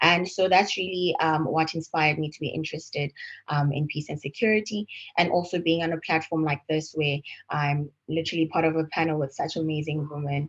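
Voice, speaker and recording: Speaking at a fairly quick pace, a woman has a very deep, low pitch and fairly even intonation. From South Africa. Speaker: panelist, client relations manager. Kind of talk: panel discussion. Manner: hesitant, many fillers.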